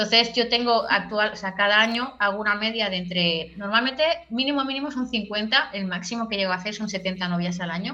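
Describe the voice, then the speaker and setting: Here is a woman with an unremarkable speaking voice and a fairly high pitch. She talks with hardly any pauses and ordinary pitch variation. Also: fairly quick pace. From Catalonia, Spain (Tarragona area). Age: 40s. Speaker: professional makeup artist. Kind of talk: casual interview chat.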